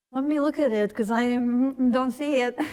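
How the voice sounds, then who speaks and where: A woman speaks in a Russian accent at a fairly slow pace, her pitch high and her intonation monotone and flat. The recording is very clean, with a silent background. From eastern Ukraine (Donbas, Donetsk). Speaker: artist. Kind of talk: panel talk about her artworks. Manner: casual, hesitant with fillers.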